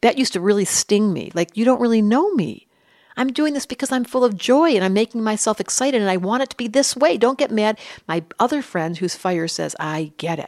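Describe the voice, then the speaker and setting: A woman with an American accent speaks at a fairly quick pace in a plain, everyday voice, pitched fairly high with lively intonation. The recording is very clean, with a silent background. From US Midwest, Detroit. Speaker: astrologer and psychologist. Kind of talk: interview.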